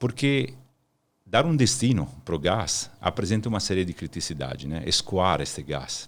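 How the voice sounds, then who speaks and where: On a very clean recording with a silent background, a man with an Italian accent talks at a moderate pace, his fairly low pitch making very wide swings. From Italy, Milan. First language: Italian (speaking Portuguese). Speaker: energy consultant. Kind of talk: podcast interview.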